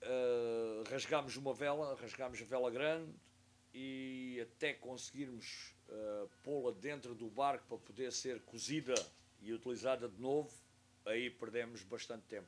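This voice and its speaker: A man talks fairly slowly at a medium pitch, his intonation fairly even. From Portugal, Algarve (Faro). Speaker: sailing instructor and university professor. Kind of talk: interview, casual storytelling. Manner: halting, with hesitations.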